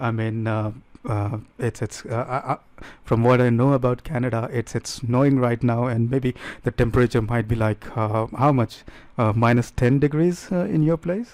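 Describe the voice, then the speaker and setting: A man with an Indian accent speaks at a moderate pace with medium pitch and fairly even intonation on a very clean recording with a silent background. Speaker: talk show host. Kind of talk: casual chat.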